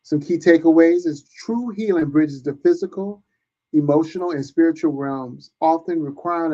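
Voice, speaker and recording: Speaking at a moderate pace, a man with a fairly high pitch and a dark, mellow tone uses ordinary pitch variation. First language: not English. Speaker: podcast host. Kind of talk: podcast interview; scripted outro.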